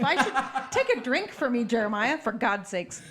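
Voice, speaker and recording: Noticeable background noise sits behind a woman talking at a fairly quick pace in a high pitch. Her intonation is lively and her tone animated. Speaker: podcast host. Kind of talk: casual chat.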